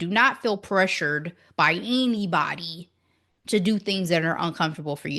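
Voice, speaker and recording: Animated woman at medium pitch, bright and sharp in tone with lively intonation, moderate pace, quiet background. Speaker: podcast co-host. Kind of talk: casual chat.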